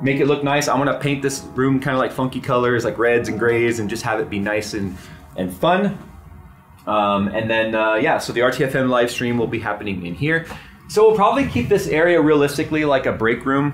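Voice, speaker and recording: A man at a fairly quick pace, with faint music in the background. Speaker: tech channel host. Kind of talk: casual vlog tour. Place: office.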